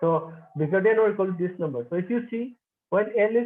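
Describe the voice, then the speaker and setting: A man's high-pitched voice at a moderate pace. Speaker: mathematician. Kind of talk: lecture. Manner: halting.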